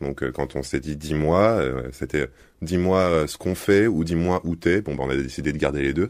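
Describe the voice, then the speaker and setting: A man at a moderate pace, very deep and low in pitch, with ordinary pitch variation. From Egypt (Cairo). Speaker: singer. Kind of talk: interview answer.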